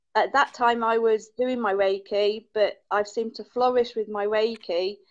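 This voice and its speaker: A woman with an English accent speaks at a fairly slow pace, her fairly high voice keeping a fairly even intonation. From England. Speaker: caller, Reiki healer. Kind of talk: casual chat.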